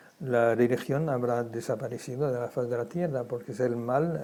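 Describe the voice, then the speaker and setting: This man speaks at a moderate pace and medium pitch. His tone is dark and mellow, with fairly even intonation. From Germany, Frankfurt. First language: German (speaking Spanish). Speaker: Holocaust survivor. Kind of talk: testimony interview. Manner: halting, many repetitions.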